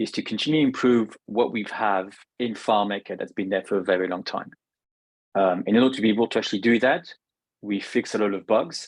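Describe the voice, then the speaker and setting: Speaking at a fairly quick pace, a man has a fairly low pitch with ordinary pitch variation. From France. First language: French. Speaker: software product manager. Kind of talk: product presentation. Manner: halting.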